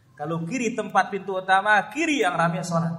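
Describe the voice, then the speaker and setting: At a fairly quick pace, a man speaks with a high pitch and ordinary pitch variation. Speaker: Islamic preacher. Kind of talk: religious lecture. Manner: loud.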